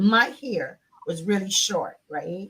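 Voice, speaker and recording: Her voice at a medium pitch, a woman speaks with lively intonation. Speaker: nonprofit CEO, former teacher. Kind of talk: talk show interview. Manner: loud; animated.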